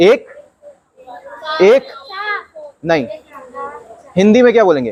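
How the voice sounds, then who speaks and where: A man speaks with a high pitch and very wide swings in pitch. He has a non-native accent. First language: not Hindi (speaking Hindi). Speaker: maths teacher. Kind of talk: classroom lesson. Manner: repetitive questioning, engaging.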